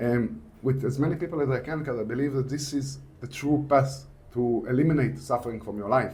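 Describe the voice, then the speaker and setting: Fairly even intonation and a fairly quick pace come through with audible room echo. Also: man, medium pitch for a man. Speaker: author and mindset teacher. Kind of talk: podcast interview. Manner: swallows words, imperfect diction.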